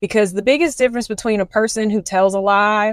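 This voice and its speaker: With a Southern US accent, a woman is heard in a dry, close sound with no echo. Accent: Southern twang. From US South, Columbia, South Carolina. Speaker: faith-based life coach and podcast host. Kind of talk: podcast monologue, faith teaching. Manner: casual, conversational with fillers.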